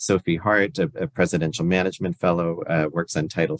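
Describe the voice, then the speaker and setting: A very deep, low-pitched man's voice at a fairly quick pace, dry and close with no echo. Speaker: federal education program official. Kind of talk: webinar presentation. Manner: fast; many filler words.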